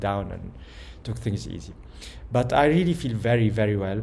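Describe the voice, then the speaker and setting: A voice with vocal fry and a dark, mellow tone is heard with audible room echo. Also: man. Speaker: personal vlogger. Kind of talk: personal video message. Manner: calm, somewhat slow; hesitant, many fillers.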